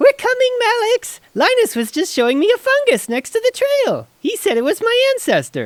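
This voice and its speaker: In a squeaky, extremely high put-on character voice, the speaker runs on with hardly any pauses. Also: moderate pace. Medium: audio drama. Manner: cheerful, naive.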